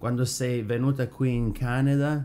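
At a fairly slow pace, a man speaks in a dark, mellow tone. His pitch is medium.

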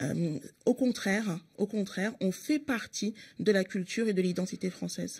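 A somewhat breathy voice at a moderate pace with ordinary pitch variation, over a quiet background. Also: woman. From France, Paris working-class neighbourhoods. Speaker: member of parliament and party spokesperson; party spokesperson. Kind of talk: radio interview. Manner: hesitant, many filler sounds. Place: studio. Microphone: studio mic.

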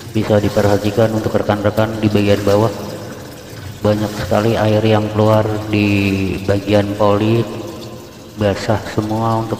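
Fairly low-pitched and monotone, a man talks at a moderate pace with very even loudness and long, frequent pauses, while light background noise and audible room echo fill the recording. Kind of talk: tutorial. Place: workshop. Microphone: phone near.

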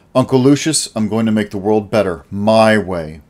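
What you hear is a natural reading voice.

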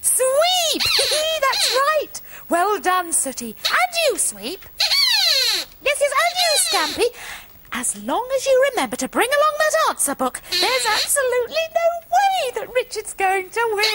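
A cartoonish character voice moves at a fairly slow pace with very wide pitch swings. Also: woman, extremely high pitch for a woman. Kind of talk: children's TV puppet comedy.

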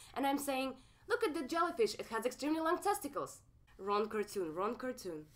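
Using a Russian accent, a woman speaks at a fairly quick pace in a high pitch with very wide pitch swings. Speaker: comedian. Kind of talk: stand-up.

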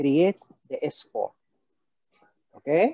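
The voice has a dark, mellow tone and moves at a very slow pace. The sound is dry and close, with no echo. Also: man. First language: Arabic. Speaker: cardiologist leading an MCQ teaching session. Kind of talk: interactive lecture. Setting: video call.

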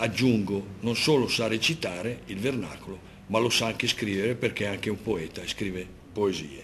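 A man's voice, with ordinary pitch variation, proceeds at a moderate pace. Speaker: poet and course teacher. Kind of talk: event presenter speech.

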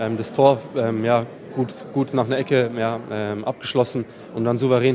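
Music in the background behind a man of medium pitch and fairly even intonation. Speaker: footballer. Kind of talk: post-match interview. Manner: halting. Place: stadium. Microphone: handheld.

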